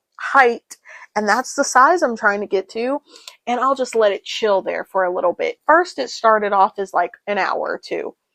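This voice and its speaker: A woman speaks at a moderate pace in a high voice, the sound dry and close with no echo. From Tennessee, USA. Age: 20s. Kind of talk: casual talk to camera. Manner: casual, chatty.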